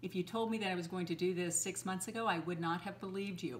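The pace is fast. The intonation stays fairly even. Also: woman, fairly low pitch for a woman.

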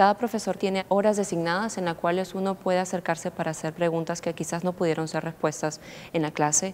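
With light background noise, a woman talks at a fairly quick pace in a normal speaking voice, her pitch fairly low and her intonation fairly even. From Peru. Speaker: international college student. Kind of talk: interview. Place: studio. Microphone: lapel.

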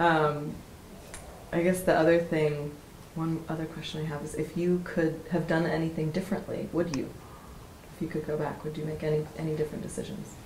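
A woman's very deep, low, monotone voice at a fairly quick pace, with long, frequent pauses, audible room echo and light background noise. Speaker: interviewer. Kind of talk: interview. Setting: workshop retreat. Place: home room.

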